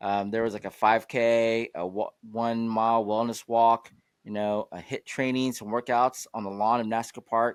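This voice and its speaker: On a very clean recording with a silent background and a dry, close sound with no echo, a man speaks at a moderate pace and medium pitch with monotone, flat intonation. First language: not English. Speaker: talk show host. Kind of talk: casual chat.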